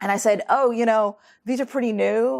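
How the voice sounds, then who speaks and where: On a very clean recording with a silent background, a woman speaks in a New York State accent. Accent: American, New York State. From Troy, New York. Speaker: author and researcher. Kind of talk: lecture. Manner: fast; halting.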